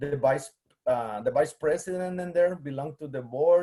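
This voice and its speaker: A man with a Guatemalan accent speaks in a dark, mellow tone. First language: Spanish. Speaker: museum collections manager, biologist. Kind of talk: presentation. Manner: halting, many fillers.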